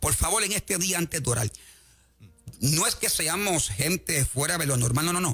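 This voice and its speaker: With lively intonation, the man talks at a moderate pace while music plays behind him. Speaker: evangelist. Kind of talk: sermon. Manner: animated.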